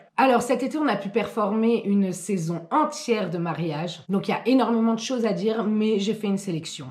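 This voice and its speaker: Speaking with a Belgian accent, a woman talks at a fairly quick pace with hardly any pauses, in an animated, somewhat breathy voice that is fairly high in pitch and has lively intonation. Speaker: YouTuber and wedding waitstaff. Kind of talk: storytime monologue. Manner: casual, animated.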